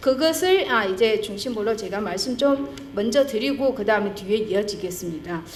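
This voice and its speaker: Speaking at a moderate pace, a woman's pitch swings very widely amid audible room echo and noticeable background noise. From China. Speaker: historian, conference presenter. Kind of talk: academic presentation. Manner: halting, many fillers.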